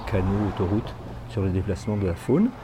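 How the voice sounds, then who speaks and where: A man's somewhat breathy, fairly low voice, dark and mellow in tone, at a fairly quick pace. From northeastern France. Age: 60s. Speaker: village mayor. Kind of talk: interview testimony. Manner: hesitant, frequent fillers.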